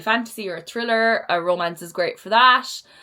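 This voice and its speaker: The woman speaks in a Cork accent at a moderate pace. Her pitch variation is ordinary. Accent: Cork Irish. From Ireland, Cork. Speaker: book vlogger. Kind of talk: casual chat. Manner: casual, rambling filler words.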